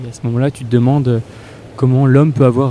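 A man talks in a monotone with flat intonation. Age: 20s. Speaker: climate science student. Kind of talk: testimony.

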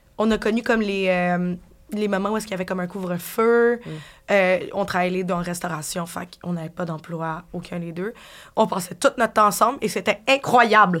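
A woman speaks at a moderate pace with an unremarkable speaking voice. Her pitch is medium with ordinary variation, on a very clean recording with a silent background. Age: 20s. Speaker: bartender. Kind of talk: casual interview chat.

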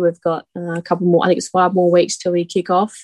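In an Australian accent, a woman talks at a fairly quick pace in a fairly low, monotone voice with flat intonation, recorded dry and close with no echo. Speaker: rugby league player. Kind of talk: interview.

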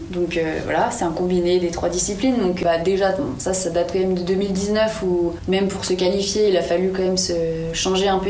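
A woman at a medium pitch and fairly quick pace, fairly even intonation, with noticeable background noise and audible room echo. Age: 20s. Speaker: olympic climber. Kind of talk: interview.

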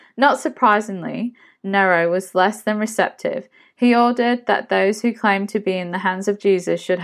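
Ordinary pitch variation in plain reading aloud

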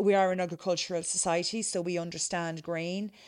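In a Kerry accent, a woman speaks at a moderate pace with a fairly low pitch and monotone, flat intonation against a quiet background. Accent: Kerry Irish. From Ireland, County Kerry (Cahersiveen). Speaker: distiller and former corporate lawyer. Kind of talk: interview.

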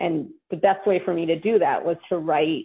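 This is a plain, everyday voice. It goes at a moderate pace. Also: woman. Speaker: novelist and former intelligence officer. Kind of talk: radio interview.

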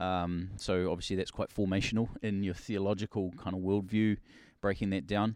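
A man's fairly low, monotone voice at a moderate pace, with flat intonation and a quiet background. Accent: New Zealand. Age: 40s. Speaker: pastor. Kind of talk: casual chat.

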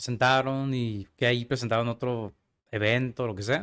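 At a moderate pace, a man uses an ordinary speaking voice at medium pitch on a very clean recording with a silent background. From Mexico, Tijuana. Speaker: casting agency founder and film student. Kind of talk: casual interview conversation.

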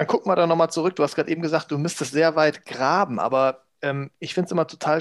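This man has a normal speaking voice, fairly high in pitch with ordinary pitch variation. The sound is dry and close, with no echo. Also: quiet background. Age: 40s. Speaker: podcast co-host. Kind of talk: casual chat.

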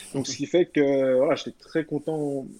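At a moderate pace, a man talks at a medium pitch. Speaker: former professional footballer. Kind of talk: podcast interview.

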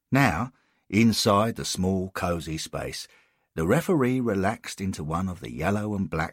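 The background stays quiet while a natural voice reads aloud.

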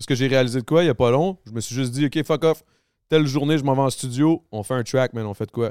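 In a Quebec accent, a man speaks at a very fast pace with a medium pitch and ordinary pitch variation, on a very clean recording with a silent background. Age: 30s. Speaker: podcast host. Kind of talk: casual chat.

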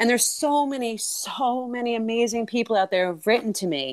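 A normal speaking voice with an American accent carries lively intonation. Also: woman. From New York City area. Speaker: nurse. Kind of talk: interview.

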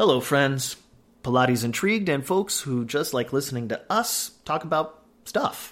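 A man speaks with a plain, everyday voice, fairly high in pitch and with lively intonation. The recording is very clean, with a silent background. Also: moderate pace. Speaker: podcast host. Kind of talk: scripted intro.

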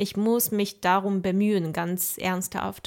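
In a very clean recording with a silent background, a woman with a Mandarin Chinese accent speaks very slowly at a medium pitch. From China. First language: Mandarin Chinese (speaking German). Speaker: podcast host, university student. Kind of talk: interview conversation.

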